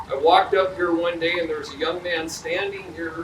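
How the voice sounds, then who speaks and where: Loud and high-pitched, a man talks at a moderate pace with fairly even intonation, with audible room echo and noticeable background noise. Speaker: police chief. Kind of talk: ceremony speech with storytelling. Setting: outdoor memorial ceremony.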